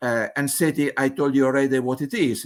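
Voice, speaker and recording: Speaking with an Italian accent, a man at medium pitch has a bright, sharp tone. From Italy. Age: 70s. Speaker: mathematical physicist. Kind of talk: conference presentation. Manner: halting, with many fillers.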